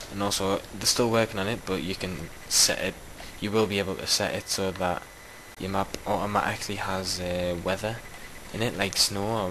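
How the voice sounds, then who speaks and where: A man's fairly low, monotone voice with flat intonation at a moderate pace, over noticeable background noise. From Newcastle, northern England. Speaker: gaming YouTuber and map maker. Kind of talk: casual gameplay commentary. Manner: casual, hesitant with fillers.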